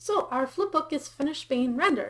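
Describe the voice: Here a woman talks at a slow pace with a high pitch. Her intonation is lively.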